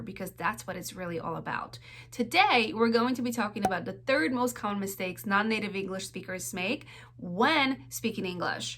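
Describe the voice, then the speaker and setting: A woman's medium-pitched voice with very wide pitch swings at a moderate pace, over noticeable background noise. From Poland. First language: Polish. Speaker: accent coach, speech-language pathologist. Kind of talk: casual talk to camera.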